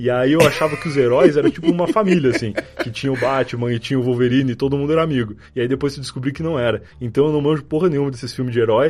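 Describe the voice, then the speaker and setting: Very fast speech with ordinary pitch variation amid noticeable background noise. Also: man. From Rio Grande do Sul, far south near Uruguay. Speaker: podcaster. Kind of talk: casual chat.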